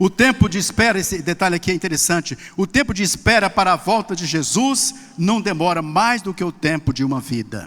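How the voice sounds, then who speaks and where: A high-pitched man at a fairly quick pace, with lively intonation. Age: 60s. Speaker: pastor. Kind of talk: sermon.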